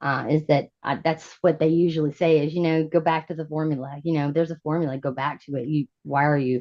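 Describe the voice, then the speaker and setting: A woman talks at a fairly quick pace with a very deep, low pitch. Her intonation is monotone and flat, with hardly any pauses. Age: 40s. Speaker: musician. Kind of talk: casual chat.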